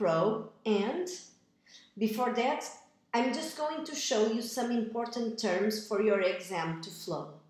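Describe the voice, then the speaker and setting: Lively intonation marks a woman's fairly high-pitched voice, heard with audible room echo. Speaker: echocardiographer. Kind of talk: tutorial. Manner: slow.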